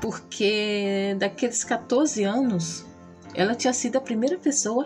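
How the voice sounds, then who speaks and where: With music in the background, a woman with a Brazilian accent speaks at a fairly slow pace and fairly high pitch, keeping very even loudness and ordinary pitch variation. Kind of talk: casual talk to camera.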